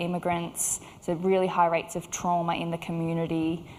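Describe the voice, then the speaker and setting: A woman with an Australian accent and a fairly low pitch speaks at a moderate pace in a monotone, flat intonation, with audible room echo. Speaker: clinical psychologist. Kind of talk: conference talk. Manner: hesitant with many fillers.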